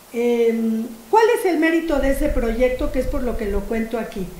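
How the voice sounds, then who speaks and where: A woman with a high pitch speaks at a fairly slow pace, with noticeable background noise and audible room echo. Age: 60s. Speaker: philosophy professor. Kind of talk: lecture. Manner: animated.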